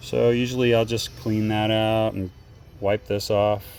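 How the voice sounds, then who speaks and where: A man speaks at a moderate pace and medium pitch with a slight Texan accent. Background noise is noticeable behind him. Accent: slight Texas. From Texas. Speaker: DIY tutorial maker. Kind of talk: tutorial. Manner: casual, halting with fillers.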